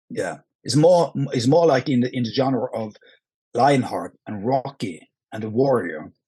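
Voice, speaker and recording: A man speaks at a fairly slow pace, his pitch medium. His tone is dark and mellow, with lively intonation. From Norway. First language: Norwegian. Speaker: action film actor. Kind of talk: podcast interview. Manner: halting, many repetitions.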